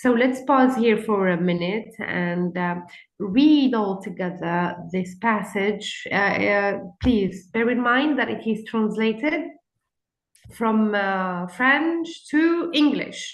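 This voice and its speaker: With audible room echo, a woman speaks very slowly at a fairly high pitch with lively intonation. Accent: Arabic. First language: Arabic. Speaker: conference speaker. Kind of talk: lecture. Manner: halting.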